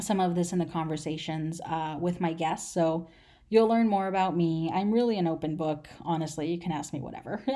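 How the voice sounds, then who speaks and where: In a Californian accent, a woman talks with a dark, mellow tone on a very clean recording with a silent background. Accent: Californian American English. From Los Angeles, US. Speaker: podcast host. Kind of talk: solo podcast intro monologue. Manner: casual with many filler words.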